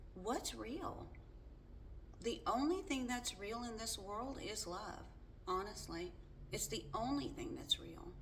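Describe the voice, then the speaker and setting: The speaker is loud, with very wide pitch swings, a very slow pace and long, frequent pauses, while audible room echo and noticeable background noise fill the recording. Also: woman, high pitch for a woman. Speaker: faith vlogger. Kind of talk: casual monologue. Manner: halting.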